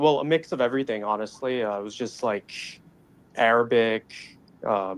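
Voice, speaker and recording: A man with an American accent has a plain, everyday voice at a medium pitch. He talks at a fairly quick pace with ordinary pitch variation. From Dubai, Middle East. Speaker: caller. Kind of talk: casual chat.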